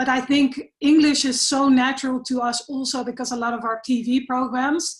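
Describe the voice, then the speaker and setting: Her intonation monotone and flat, a woman with a Dutch accent speaks at a moderate pace and a high pitch. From Netherlands. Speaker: environmental researcher and volunteer leader. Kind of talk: interview.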